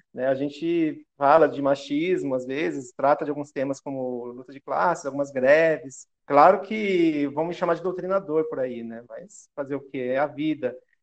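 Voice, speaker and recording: Using a normal speaking voice, a man talks at a moderate pace with hardly any pauses, a fairly high pitch, ordinary pitch variation and big swings in loudness. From Brazil, Guarulhos, São Paulo. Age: 30s. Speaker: historian. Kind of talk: interview.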